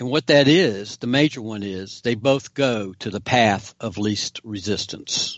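A man speaks in a plain, everyday voice at a fairly slow pace, with ordinary pitch variation. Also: medium pitch for a man. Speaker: investigative reporter. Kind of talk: political discussion.

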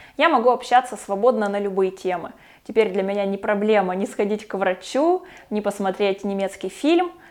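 A woman speaks in a normal speaking voice at a medium pitch, with ordinary pitch variation and a moderate pace. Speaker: video blogger. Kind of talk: vlog monologue.

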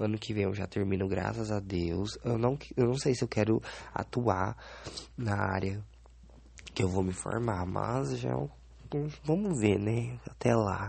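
Here a man with a fairly low pitch talks at a fairly slow pace, leaving long, frequent pauses. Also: lively intonation. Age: 20s. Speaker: podcaster. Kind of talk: solo diary podcast. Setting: bedroom. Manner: halting.

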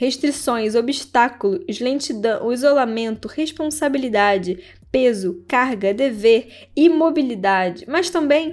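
A woman speaks at a high pitch and a fairly slow pace. Her intonation is lively. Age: 20s. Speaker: podcast host, writer and astrologer. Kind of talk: casual scripted podcast monologue.

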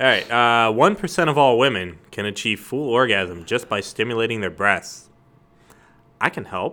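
At a moderate pace and medium pitch, a man talks in an ordinary speaking voice with lively intonation. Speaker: guest, friend of host. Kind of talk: casual chat.

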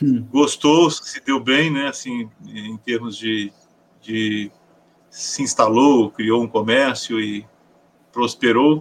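A man speaks at a very slow pace with a medium pitch. His intonation stays fairly even. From Paraná, southern Brazil. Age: 50s. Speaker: educator and writer. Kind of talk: interview.

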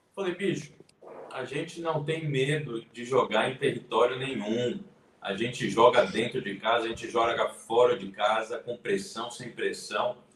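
Lively intonation and big swings in loudness come through over noticeable background noise. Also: man, medium pitch for a man, fairly slow pace. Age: 20s. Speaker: YouTube channel host and economics student. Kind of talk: casual live-stream interview. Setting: online live stream.

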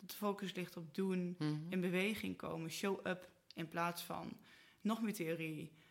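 With an ordinary speaking voice, a woman speaks fairly slowly at a fairly low pitch and with fairly even intonation. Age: 40s. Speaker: marketing entrepreneur. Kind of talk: casual interview. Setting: studio, at a table.

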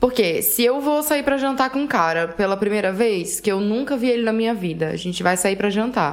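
Speaking at a fairly quick pace with hardly any pauses, a woman keeps her intonation lively. Her pitch sits fairly high. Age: 20s. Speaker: podcast co-host. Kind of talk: casual chat.

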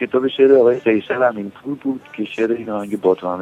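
A man speaks very fast at a medium pitch with ordinary pitch variation, and there is noticeable background noise. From Iran, Tehran. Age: 60s. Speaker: musician. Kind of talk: interview.

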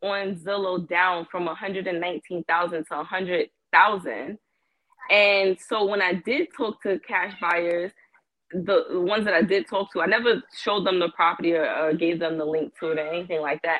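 Her pitch sits in the middle range and rises and falls in ordinary ways as this woman talks at a moderate pace in a plain, everyday voice. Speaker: caller. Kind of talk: casual chat. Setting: phone call.

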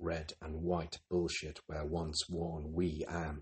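Very deep and low in pitch, a man speaks at a very slow pace with monotone, flat intonation and a somewhat breathy voice. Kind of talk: poem reading.

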